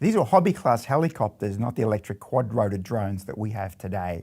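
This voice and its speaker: With an Australian accent, a man speaks at a fairly quick pace in a dark, mellow tone, in a very clean recording with a silent background. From Australia (Melbourne). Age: 60s. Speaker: robotics professor. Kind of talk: scripted narration.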